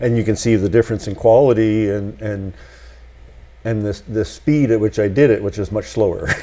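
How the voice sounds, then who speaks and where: A man with a plain, everyday voice, fairly low in pitch, fairly even in intonation, at a moderate pace. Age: 60s. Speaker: community TV host. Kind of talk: interview conversation.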